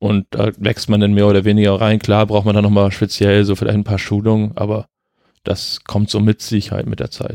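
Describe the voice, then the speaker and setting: Dark and mellow in tone, a man speaks at a moderate pace and fairly low pitch in a flat monotone, with a dry, close sound, no echo and a quiet background. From northern Germany, Flensburg. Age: 20s. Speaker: amateur competitive swimmer. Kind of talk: casual interview. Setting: at the guest's place.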